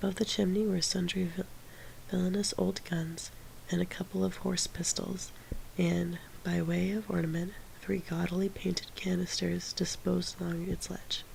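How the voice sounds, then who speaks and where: Someone whispers in a soft-spoken way at a moderate pace. Noticeable background noise runs underneath. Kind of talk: audiobook reading of a classic novel. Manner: soft-spoken, quiet, whispery.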